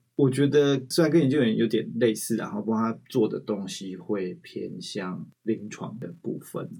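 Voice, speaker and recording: Speaking fairly slowly with hardly any pauses, a man has a dark, mellow tone and lively intonation. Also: medium pitch for a man. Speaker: infectious disease physician and researcher. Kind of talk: interview conversation. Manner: frequent fillers.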